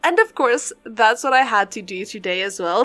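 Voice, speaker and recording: Lively intonation marks a woman's fairly high-pitched voice. She speaks at a moderate pace with a non-native accent. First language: not English. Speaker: gaming YouTuber, Sims builder. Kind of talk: casual chat over gameplay. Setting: pre-recorded voiceover. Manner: casual, rambling with self-corrections.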